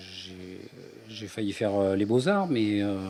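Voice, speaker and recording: Audible room echo surrounds a man speaking at a fairly low pitch. His pace is very slow. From France, Ardèche. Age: 60s. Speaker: author, retired energy worker. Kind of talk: interview. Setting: radio. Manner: halting.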